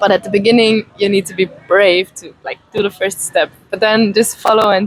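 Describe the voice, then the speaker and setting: Heard dry and close with no echo, a woman with an Italian accent talks at a moderate pace and medium pitch in a flat monotone, her loudness swinging widely. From Italy. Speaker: beautician and massage therapist. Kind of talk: interview.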